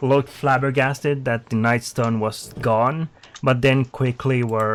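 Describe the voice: The speaker reads aloud in a plain way.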